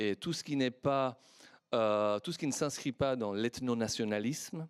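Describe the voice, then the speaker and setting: Speaking in a Persian accent at a fairly slow pace, a man with a medium pitch and ordinary pitch variation is heard in a dry, close sound with no echo on a very clean recording with a silent background. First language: Persian (speaking French). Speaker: historian, academic panelist. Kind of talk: panel discussion. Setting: conference with audience. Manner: hesitant, many fillers.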